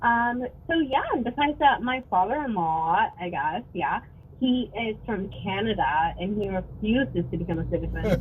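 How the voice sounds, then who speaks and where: A woman's pitch swings very widely over noticeable background noise. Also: medium pitch for a woman, moderate pace. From Mexico (Acapulco), moved to US at seven. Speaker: caller. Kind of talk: casual chat.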